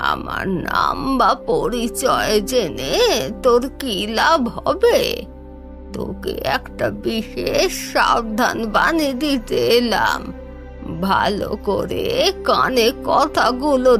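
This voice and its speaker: A cartoonish character voice speaks at a very slow pace over clear music in the background. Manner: solemn, oracular.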